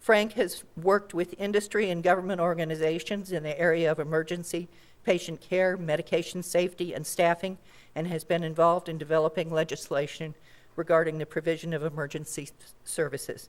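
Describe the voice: A woman speaks at a fairly quick pace. Her pitch is fairly low and her intonation fairly even.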